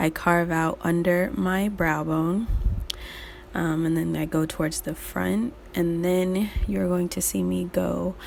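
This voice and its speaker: Quiet and at a very slow pace, a woman speaks. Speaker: beauty youtuber. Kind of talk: makeup tutorial.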